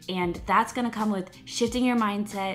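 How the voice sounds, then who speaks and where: Faint music sits behind a woman speaking with ordinary pitch variation. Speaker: lifestyle vlogger. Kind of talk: casual vlog chat. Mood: warm, reflective. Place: home room. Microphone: phone near.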